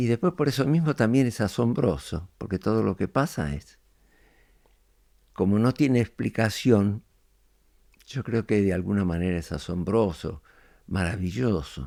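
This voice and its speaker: Fairly slow speech in a Rioplatense accent with long, frequent pauses, dry and close with no echo, on a very clean recording with a silent background. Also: man, fairly low pitch for a man. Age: 90s. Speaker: podcast guest, elder reflecting on life. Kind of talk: interview conversation. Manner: reflective, hesitant with fillers.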